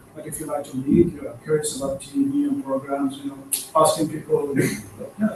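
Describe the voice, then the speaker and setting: A man speaks at a moderate pace with big swings in loudness amid noticeable background noise. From Iraq. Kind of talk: casual group discussion.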